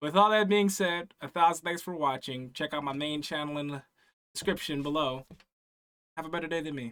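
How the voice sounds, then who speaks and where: At a fairly quick pace, a man with a plain, everyday voice talks at a fairly high pitch with ordinary pitch variation. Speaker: reaction youtuber. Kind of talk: reaction commentary. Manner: casual.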